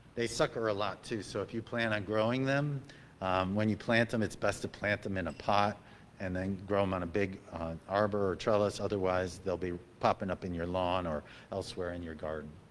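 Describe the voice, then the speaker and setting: A man is speaking. His pitch is fairly low, with ordinary variation. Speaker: master gardener giving a talk. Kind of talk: club talk on gardening. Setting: meeting with audience. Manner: fast; halting, many fillers.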